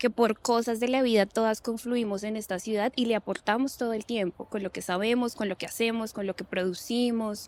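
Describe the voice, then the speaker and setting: A woman's fairly high, monotone, flat voice at a fairly quick pace with hardly any pauses, dry and close with no echo. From Colombia, Bogotá. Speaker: lawyer and gender expert. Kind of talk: interview conversation.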